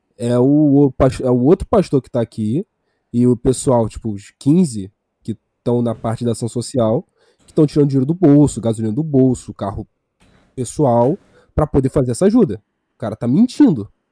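The voice has a dark, mellow tone and a moderate pace with long, frequent pauses, in a dry, close sound with no echo. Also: man, medium pitch for a man, ordinary pitch variation. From Maranhão, Brazil. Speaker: podcast guest. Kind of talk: casual chat. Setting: live stream.

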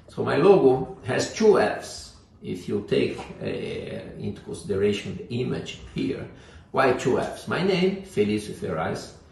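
A man with a Portuguese accent at a fairly slow pace, with audible room echo and noticeable background noise. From Brazil. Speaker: leadership coach. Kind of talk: vlog monologue.

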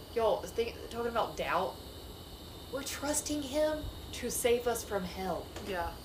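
At a fairly slow pace, a woman with a fairly high pitch speaks with long, frequent pauses, with audible room echo and noticeable background noise. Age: 30s. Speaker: Bible study leader. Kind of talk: group Bible study discussion.

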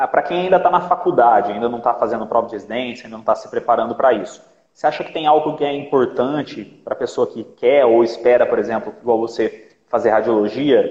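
Talking at a fairly quick pace, a man is heard. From Minas Gerais, Brazil. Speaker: orthopedics resident and live stream host. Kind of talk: interview on a live stream.

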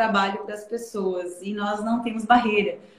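A woman's fairly high voice moves at a moderate tempo through noticeable background noise. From southern Brazil, Santa Catarina interior (Aurora). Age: 20s. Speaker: investment advisor. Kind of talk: interview. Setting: live stream.

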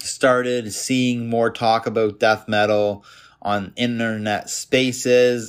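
In a very clean recording with a silent background, a man with a Canadian accent speaks very slowly at medium pitch with monotone, flat intonation. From Canada, Toronto suburbs. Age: 30s. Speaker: podcast host. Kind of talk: solo monologue podcast. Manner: casual.

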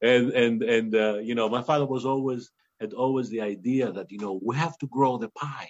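A man talks at a moderate pace with a Greek accent. His pitch sits in the medium range. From Greece. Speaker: winemaker. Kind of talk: interview. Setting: video call.

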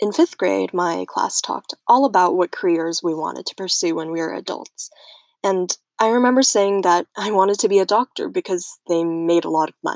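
Recorded very cleanly against a silent background, a woman with a plain, everyday voice talks at a moderate pace and medium pitch, with ordinary pitch variation and a dry, close sound with no echo. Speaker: student podcaster. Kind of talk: scripted narration.

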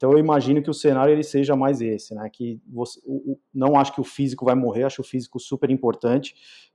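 A man talks at a very fast pace with hardly any pauses, his medium-pitched voice dark and mellow with fairly even intonation. The sound is dry and close with no echo against a quiet background. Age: 40s. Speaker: digital marketing agency CEO. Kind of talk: casual interview.

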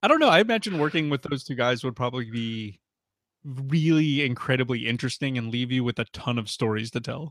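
Talking at a fairly quick pace in a normal speaking voice, a man keeps to a medium pitch with ordinary variation. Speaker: podcast co-host. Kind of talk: casual chat.

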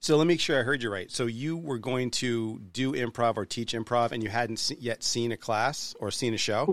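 Against a silent background on a very clean recording, a man with an American accent has an unremarkable speaking voice at a medium pitch with ordinary pitch variation. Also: moderate pace, hardly any pauses. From New Hampshire, US. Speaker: podcast host. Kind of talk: casual interview chat.

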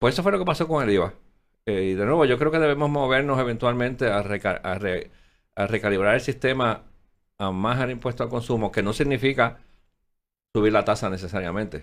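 On a very clean recording with a silent background, a man talks in a Puerto Rican accent at a medium pitch. His pace is fairly quick and his intonation lively. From Puerto Rico. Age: 60s. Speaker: former finance secretary. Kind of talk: interview.

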